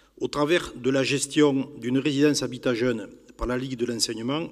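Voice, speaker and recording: Here a man talks at a medium pitch and a fairly quick pace. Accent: Catalan French. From southern France, Pyrénées-Orientales (Catalonia). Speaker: youth housing manager, conference speaker. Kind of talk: public lecture. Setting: conference hall with audience. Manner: formal.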